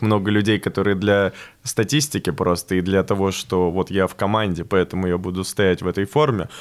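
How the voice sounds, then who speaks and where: A man speaks in an unremarkable speaking voice, fairly low in pitch, at a moderate pace. His intonation stays fairly even on a very clean recording with a silent background. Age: 20s. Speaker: stand-up comedian. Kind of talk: casual interview.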